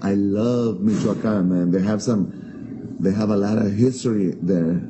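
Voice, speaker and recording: With audible room echo, a man talks at a fairly low pitch with ordinary pitch variation. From Mexico, Guadalajara. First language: Spanish. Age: 40s. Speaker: restaurant owner, entrepreneur. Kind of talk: interview. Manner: halting.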